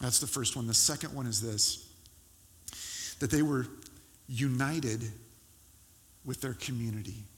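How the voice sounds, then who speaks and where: A man's somewhat breathy, medium-pitched voice at a moderate pace, with ordinary pitch variation and long, frequent pauses. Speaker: pastor. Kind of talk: sermon; fervent prayer. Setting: church. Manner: earnest, pleading, heartfelt.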